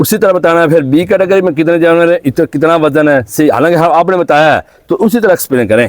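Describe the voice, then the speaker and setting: High-pitched for a man, at a moderate pace with hardly any pauses, very even loudness, ordinary pitch variation, and a dry, close sound without echo. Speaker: YouTube interviewer visiting a farm. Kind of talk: interview. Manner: animated.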